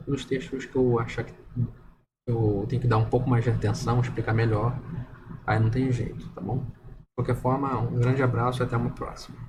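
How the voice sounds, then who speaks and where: A soft-spoken man talks at a moderate pace with vocal fry. His intonation is monotone and flat, and there is audible room echo. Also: medium pitch for a man. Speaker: religious video commentator. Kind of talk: bible study monologue. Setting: at home at night. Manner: hesitant. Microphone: poor audio.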